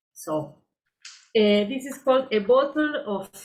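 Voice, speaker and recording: A woman with a Spanish accent. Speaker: poet and writer. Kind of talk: book reading. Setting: online video event. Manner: hesitant, with filler eh.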